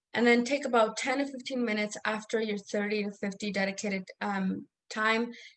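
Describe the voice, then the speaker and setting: With a non-native accent, a woman speaks at a moderate pace in a flat monotone at medium pitch. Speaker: academic coach. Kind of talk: online workshop presentation. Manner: hesitant, many fillers.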